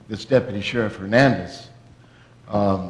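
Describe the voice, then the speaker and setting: Fairly slow speech from a man with a fairly low pitch, over noticeable background noise. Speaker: pastor hosting the event. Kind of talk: sermon-style host speech at a church event.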